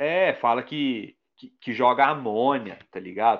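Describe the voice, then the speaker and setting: The man has a normal speaking voice, pitched at a medium level. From Minas Gerais, Brazil. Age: 30s. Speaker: illustrator and graffiti artist. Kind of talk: casual chat.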